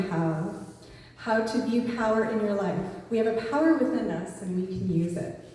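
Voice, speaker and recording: A woman at a moderate pace, with ordinary pitch variation, audible room echo and noticeable background noise. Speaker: spiritual speaker. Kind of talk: sermon. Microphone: far from the mic.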